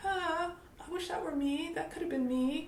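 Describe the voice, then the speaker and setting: With an American accent, a woman speaks at a moderate pace and with lively intonation. Audible room echo can be heard. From United States. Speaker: business coach. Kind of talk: motivational talk to camera.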